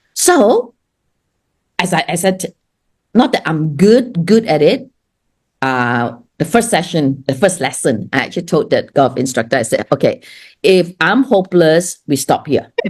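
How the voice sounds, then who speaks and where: The voice swings very widely in pitch with an animated tone. It moves at a fairly slow pace, broken by long, frequent pauses. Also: woman. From Singapore. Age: 60s. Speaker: business owner and speaker. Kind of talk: casual interview chat.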